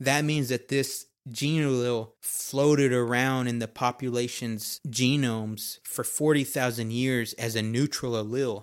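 In an ordinary speaking voice, a man talks at a medium pitch and a fairly slow pace with hardly any pauses and fairly even intonation on a very clean recording with a silent background. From Texas. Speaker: podcast host, anthropology graduate, Air Force veteran. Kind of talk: solo educational monologue. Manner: casual with filler words.

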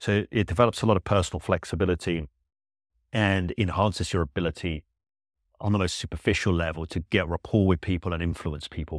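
Very deep, low male voice with ordinary pitch variation, in a very clean recording with a silent background and a dry, close sound with no echo. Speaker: solo podcast host. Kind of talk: solo educational monologue. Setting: podcast recording.

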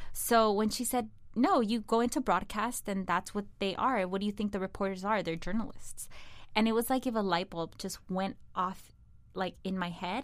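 With a Spanish accent, a woman speaks at a moderate pace. The recording is very clean, and the background is silent. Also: medium pitch for a woman, ordinary pitch variation. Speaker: digital content producer and entertainment journalist. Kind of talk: casual interview chat.

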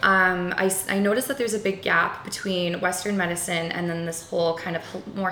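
A woman with an Albertan accent speaks at a moderate pace and with fairly even intonation. Music plays in the background, and room echo is audible. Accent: Canadian (Alberta). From rural Alberta, Canada. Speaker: yoga instructor. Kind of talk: casual interview.

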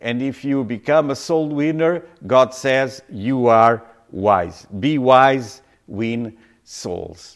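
Speech in a non-native accent unfolds at a very slow pace. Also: man, medium pitch for a man, ordinary pitch variation. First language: not English. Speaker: pastor. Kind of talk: sermon. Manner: halting.

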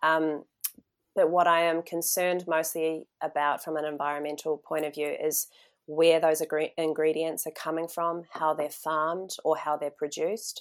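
On a very clean recording with a silent background, a woman with a New Zealand accent speaks at a moderate pace in a very deep, low voice with monotone, flat intonation. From New Zealand, North Island. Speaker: journalist and farmer. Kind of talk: interview. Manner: hesitant, many fillers.

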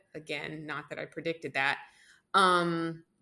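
Her voice has a bright, sharp tone, and the woman speaks with an American accent. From US, mostly Atlanta (Georgia). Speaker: pastry chef, cookbook author and magazine founder. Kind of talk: interview. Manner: casual, many fillers and laughs.

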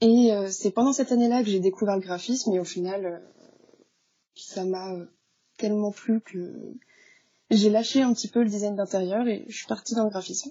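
A woman with an ordinary speaking voice, medium pitch, fairly even intonation, moderate pace and big swings in loudness. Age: 20s. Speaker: freelance graphic designer. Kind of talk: casual interview. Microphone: poor sound quality.

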